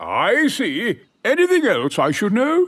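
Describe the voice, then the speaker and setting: A man puts on a cartoonish character voice at an extremely high pitch. He speaks at a fairly slow pace. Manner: enthusiastic, theatrical.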